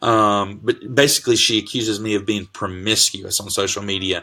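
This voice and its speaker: Loud and fairly low-pitched, a man speaks with a bright, sharp tone. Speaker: pastor. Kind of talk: casual sermon-style live talk. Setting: Facebook live video. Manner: animated.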